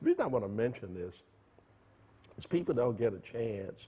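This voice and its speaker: A man with a dark, mellow tone and a somewhat breathy, medium-pitched voice talks at a fairly quick pace. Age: 70s. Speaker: tech entrepreneur. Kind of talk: interview. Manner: halting.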